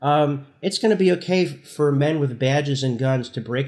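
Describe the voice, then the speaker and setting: A man with an American accent, a plain, everyday voice, moderate pace and ordinary pitch variation. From New Jersey, Newark. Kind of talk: interview.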